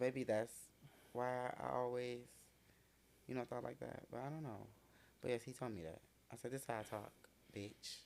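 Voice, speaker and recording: A man speaks at a moderate pace. Long pauses come frequently. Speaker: client in a shop. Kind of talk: casual chat. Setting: shop. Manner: animated.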